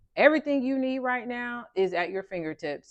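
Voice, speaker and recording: Against a quiet background, the speaker talks with an American accent. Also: woman. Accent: Southern accent, comes out when passionate. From US South. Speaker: tarot and oracle card reader. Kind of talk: spiritual card reading. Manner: animated, emphatic.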